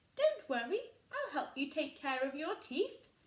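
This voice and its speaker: A woman uses a squeaky, put-on character voice at a high pitch with very wide pitch swings. She speaks at a moderate pace. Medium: read story.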